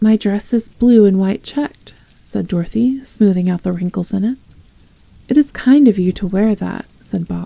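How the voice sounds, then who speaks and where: A woman talks at a moderate pace in a medium pitch, her calm, dark and mellow tone somewhat breathy, with ordinary pitch variation. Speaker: ASMR roleplay performer. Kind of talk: audiobook reading. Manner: soft-spoken, calm.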